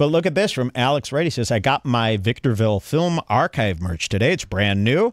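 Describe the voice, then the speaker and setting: With hardly any pauses, a man speaks at a fairly quick pace with very wide pitch swings and very even loudness, in a dry sound with no echo against a quiet background. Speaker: comedy channel host. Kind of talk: casual comedic commentary. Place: studio. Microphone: studio mic.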